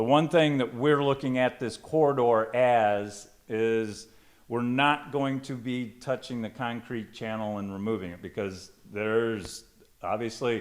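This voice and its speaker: A man with an American accent speaks at a medium pitch with ordinary pitch variation. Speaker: project presenter at a public meeting. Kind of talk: public meeting presentation. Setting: church hall with audience, microphone. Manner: loud; halting, many ums.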